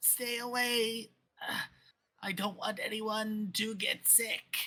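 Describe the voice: A put-on character voice, fairly high in pitch, creaky and raspy. It moves at a very slow pace.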